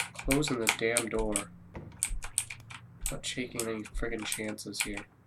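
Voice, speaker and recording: A quiet man speaks at a fairly slow pace and medium pitch, his intonation monotone and flat. Noticeable background noise runs underneath. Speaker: gaming YouTuber. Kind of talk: let's play commentary. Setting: home, recording in the dark. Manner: quiet, keeping voice down. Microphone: too quiet.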